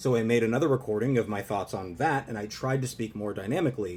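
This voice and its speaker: At a very fast pace, a man speaks with lively intonation, a medium pitch and a somewhat breathy sound. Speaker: social skills content creator. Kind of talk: advice monologue to camera.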